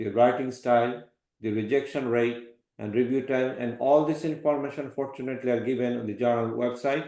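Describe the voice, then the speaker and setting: With audible room echo, a man speaks in a dark, mellow tone and a monotone, flat intonation. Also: medium pitch for a man, fairly quick pace. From Bangladesh. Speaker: professor. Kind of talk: lecture.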